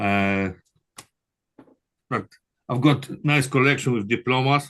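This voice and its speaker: A man with a Polish accent speaks at a fairly slow pace and medium pitch, with ordinary pitch variation. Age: 60s. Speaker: construction manager and prospective doctoral student. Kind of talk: interview. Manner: halting.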